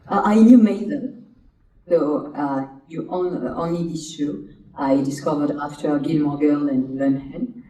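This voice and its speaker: In a room with audible echo, a woman with a very deep, low pitch speaks fairly slowly with lively intonation. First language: French. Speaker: actress. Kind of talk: interview.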